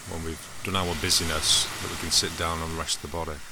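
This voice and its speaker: Quiet and at a moderate pace, a man with an English accent speaks in a very deep, low pitch, with audible room echo and noticeable background noise. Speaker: mindfulness podcaster. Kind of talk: casual reflective monologue. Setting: outdoors by the seaside.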